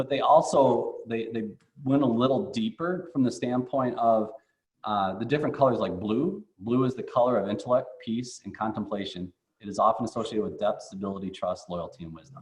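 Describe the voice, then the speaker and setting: A man talks at a fairly quick pace in a medium pitch, somewhat breathy, with lively intonation and big swings in loudness. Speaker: economic development board president. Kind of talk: business presentation. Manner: fast.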